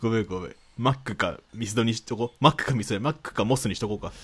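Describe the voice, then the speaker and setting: The recording is very clean, with a silent background. A man speaks at medium pitch and a fairly quick pace. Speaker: podcast co-host. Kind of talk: casual chat.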